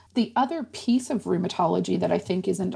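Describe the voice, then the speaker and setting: A woman speaks with a Nova Scotian accent. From rural Antigonish County, Nova Scotia. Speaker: rheumatologist and medical professor. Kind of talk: explanatory interview.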